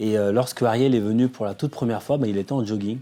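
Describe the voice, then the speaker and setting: Medium pitch and a dark, mellow tone from a man. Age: 40s. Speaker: developer and startup co-founder. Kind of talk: documentary interview. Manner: hesitant, many fillers.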